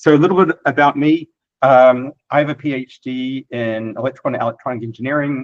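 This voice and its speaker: This man talks fairly quickly with a New Zealand accent. His pitch is medium and his intonation fairly even. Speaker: software developer and imaging scientist. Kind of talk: technical presentation. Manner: casual with filler words.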